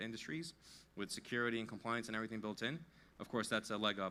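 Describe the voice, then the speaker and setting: A man with a New York accent talks at a very fast pace in a fairly low pitch, his bright, sharp tone carried by fairly even intonation. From US Northeast, New York. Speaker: tech company CTO. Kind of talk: conference talk.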